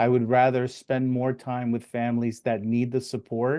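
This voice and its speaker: A man with a Spanish accent speaks at a medium pitch and moderate pace, his tone dark and mellow and his intonation monotone and flat, over a quiet background. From US, Spanish-speaking immigrant family. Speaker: financial advisor. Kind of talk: live stream interview. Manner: halting, many fillers.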